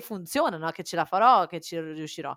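A woman in a cheerful tone. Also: very clean recording, silent background. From Italy, born Cagliari, raised Faenza. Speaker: entrepreneur. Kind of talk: casual interview chat. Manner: halting, searches for Italian words; cheerful, laughs often.

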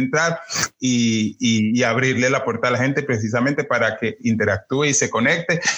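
A man's bright, sharp, medium-pitched voice at a moderate pace, with ordinary pitch variation. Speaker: drag performer. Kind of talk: casual chat.

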